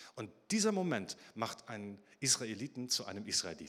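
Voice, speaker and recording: Warm tone with very wide pitch swings. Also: man. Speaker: preacher. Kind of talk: sermon. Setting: church. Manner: animated storytelling with vivid, dramatic pacing; warm, direct address to the congregation.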